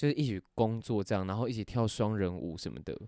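Very fast and medium in pitch, a man's dark, mellow voice comes through in a very clean recording with a silent background. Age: 20s. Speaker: actor and podcast co-host. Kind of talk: casual chat.

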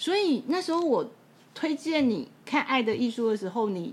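A woman speaks at a moderate pace. Her high voice swings very widely in pitch. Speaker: podcast host and bookstore owner. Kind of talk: casual chat.

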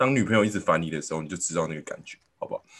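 Very wide pitch swings in a man's fairly low voice. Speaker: podcast host. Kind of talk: casual chat.

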